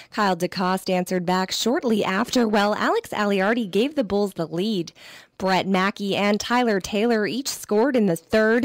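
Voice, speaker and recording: A woman with a normal speaking voice talks at a moderate pace with medium pitch, ordinary pitch variation and very even loudness, on a very clean recording with a silent background. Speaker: sports radio reporter. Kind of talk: radio sportscast.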